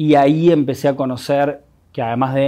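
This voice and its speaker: In a Rioplatense accent, a man speaks at a fairly high pitch with a dark, mellow tone and fairly even intonation. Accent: Rioplatense Spanish (porteño). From Buenos Aires, Argentina. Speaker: musician and producer. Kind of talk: personal testimony. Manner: halting, with many repetitions.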